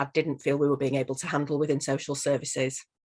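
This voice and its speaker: A woman with a Yorkshire accent, a very deep, low pitch and monotone, flat intonation against a quiet background. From northern England, Leeds. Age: 40s. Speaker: social worker and coach. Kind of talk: interview testimony.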